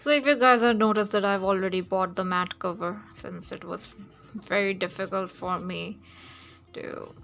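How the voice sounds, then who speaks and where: With music in the background, a woman with a non-native accent speaks at a fairly slow pace. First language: not English. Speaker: digital artist, art youtuber. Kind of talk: casual drawing tutorial chat. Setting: home flat near road. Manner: halting, many fillers. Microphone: voice too quiet vs music.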